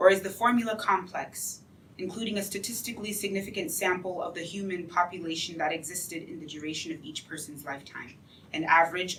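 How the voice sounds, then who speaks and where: An unremarkable speaking voice from a fairly low-pitched woman, at a fairly quick pace with ordinary pitch variation. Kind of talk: poetry reading. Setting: live event venue.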